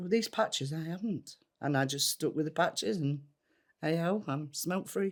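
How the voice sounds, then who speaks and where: The speaker talks at a fairly quick pace with lively intonation in a Yorkshire accent. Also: woman. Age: 60s. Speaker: former smoker. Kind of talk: testimony.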